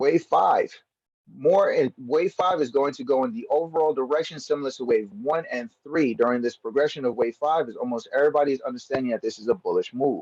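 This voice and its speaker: Pitched fairly high, a man talks at a fairly quick pace with lively intonation. The sound is dry and close with no echo. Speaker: trading educator. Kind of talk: tutorial. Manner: casual, conversational; stumbling, self-correcting.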